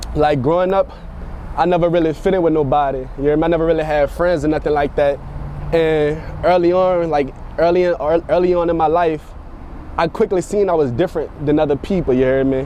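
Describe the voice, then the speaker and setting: A man's fairly high voice at a fairly quick pace, with fairly even intonation, very even loudness and noticeable background noise. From New Orleans, Louisiana. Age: 20s. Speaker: music producer. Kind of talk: interview. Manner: halting, many repetitions.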